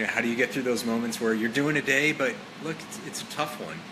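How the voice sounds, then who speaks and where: A man speaks at a fairly quick pace and medium pitch, with ordinary pitch variation. Audible room echo and noticeable background noise are present. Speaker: author and fitness motivator. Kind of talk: casual live stream monologue. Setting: live stream with viewers. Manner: casual, many fillers.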